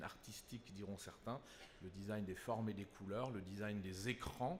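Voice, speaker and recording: Audible room echo around a man's fairly low voice, its pitch varying in an ordinary way. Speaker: consulting company executive. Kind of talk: conference panel talk.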